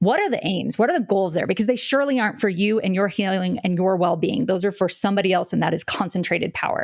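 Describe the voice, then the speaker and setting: Against noticeable background noise, a woman with an American accent talks at a very fast pace, her medium pitch showing ordinary variation and her loudness very even. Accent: non-regional American. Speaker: podcast co-host. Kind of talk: casual chat.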